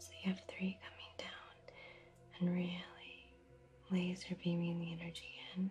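Against noticeable background noise, a woman speaks in a gentle tone at a fairly slow pace, with big swings in loudness and long, frequent pauses. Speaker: reiki practitioner. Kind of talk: ASMR reiki healing session for sleep. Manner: gentle, soft-spoken.

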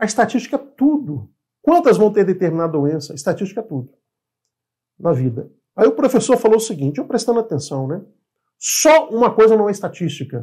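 Against a quiet background, a man with a high pitch and a dark, mellow tone talks at a fairly quick pace, making very wide pitch swings and taking long, frequent pauses. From Brazil. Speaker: engineering instructor, property appraiser; engineering instructor. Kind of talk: educational video lecture. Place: home room. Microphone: lapel.

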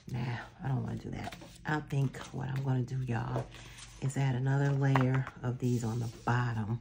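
At a moderate pace, a woman talks in a very deep, low pitch with monotone, flat intonation over noticeable background noise. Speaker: planner vlogger. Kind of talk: craft tutorial. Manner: casual, halting with fillers.

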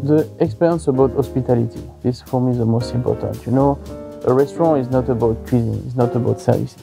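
With music in the background, a man at medium pitch talks at a very fast pace with lively intonation. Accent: French. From Savoie, French Alps, France. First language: French. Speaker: head chef. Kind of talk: interview answer.

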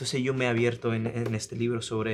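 A man speaks with an Italian accent at a moderate pace. His intonation stays fairly even over light background noise. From Italy. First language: Italian (speaking Spanish). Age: 20s. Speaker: singer-songwriter; guest. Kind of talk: interview; interview answer. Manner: halting. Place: studio.

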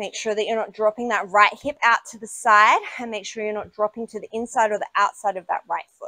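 A woman talks at a fairly quick pace with hardly any pauses, a bright, sharp tone and big swings in loudness, in a dry sound with no echo over a quiet background. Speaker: yoga instructor. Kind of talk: guided yoga class, cueing poses and breathing. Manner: brisk, clipped, directive cues in a steady, energetic instructor rhythm; warm and encouraging, with a casual, self-deprecating tone in the intro.

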